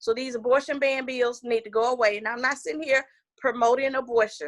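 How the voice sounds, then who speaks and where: Bright and sharp in tone, a woman speaks at a high pitch and moderate pace with an animated tone, the sound dry and close with no echo. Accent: Southern US. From US South (Georgia). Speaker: political candidate. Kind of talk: interview.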